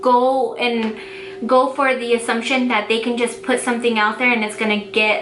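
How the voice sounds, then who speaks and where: Over background music and audible room echo, a woman with an American accent speaks at a moderate pace in a high pitch with ordinary pitch variation. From Denver, Colorado. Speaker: small business owner and vlogger. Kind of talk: casual vlog tutorial. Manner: casual, filler-heavy.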